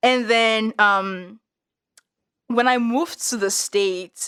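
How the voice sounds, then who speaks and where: A woman with a Nigerian accent speaks in an animated tone at a medium pitch with ordinary pitch variation. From Nigeria (Yoruba). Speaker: podcast guest. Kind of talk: casual chat.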